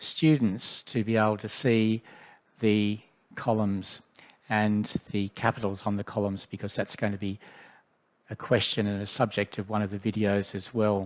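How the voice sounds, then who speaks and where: This man talks at a moderate pace in a fairly low voice, leaving long, frequent pauses. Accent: Australian. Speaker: education specialist leading a software workshop. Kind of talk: tutorial.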